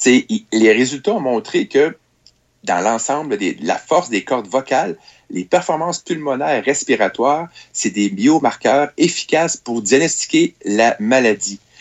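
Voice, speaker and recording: The speaker talks at a fairly slow pace with very wide pitch swings, in a Quebec accent. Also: man, medium pitch for a man. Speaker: technology columnist. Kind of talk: radio chronicle.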